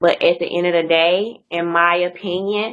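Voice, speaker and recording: Speaking very slowly in a monotone with flat intonation, a woman with a Mississippi accent has a fairly low pitch. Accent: Mississippi Southern. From US South, Mississippi. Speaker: YouTuber, interview guest. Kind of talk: casual interview chat.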